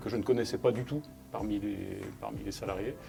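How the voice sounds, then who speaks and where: Music plays in the background as a man speaks. His pace is moderate, with a medium pitch and ordinary pitch variation. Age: 50s. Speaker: geologist and union member. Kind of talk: interview. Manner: halting, repeats words.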